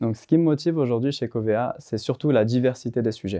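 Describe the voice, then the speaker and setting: Dark and mellow in tone, a man talks at a medium pitch and a fairly quick pace over a quiet background. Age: 20s. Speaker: IT application specialist. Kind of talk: corporate testimonial interview. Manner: hesitant, frequent fillers.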